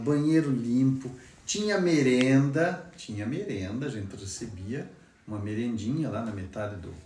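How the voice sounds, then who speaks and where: A man speaks at a medium pitch with lively intonation. Some room echo can be heard. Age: 60s. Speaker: former student. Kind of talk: testimony. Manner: halting, repeats words.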